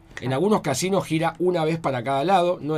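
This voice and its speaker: Speaking in a Rioplatense accent, a man uses ordinary pitch variation. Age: 40s. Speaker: lawyer and comedian. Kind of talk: casual chat.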